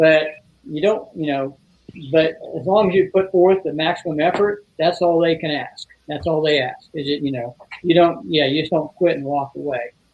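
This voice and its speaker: With an ordinary speaking voice, a man talks at a fairly high pitch and a moderate pace, using ordinary pitch variation. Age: 60s. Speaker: retired fire chief, fire training instructor. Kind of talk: casual chat.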